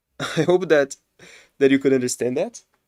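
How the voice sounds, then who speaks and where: A man speaks with a non-native accent in a dry, close sound with no echo. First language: not English. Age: 20s. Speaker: game streamer. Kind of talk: live gameplay commentary. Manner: casual, thinking aloud.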